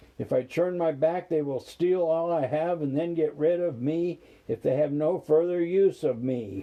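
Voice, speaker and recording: Putting on a growling character voice, a man speaks at a moderate pace in a fairly high pitch. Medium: read story. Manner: snarling, mocking.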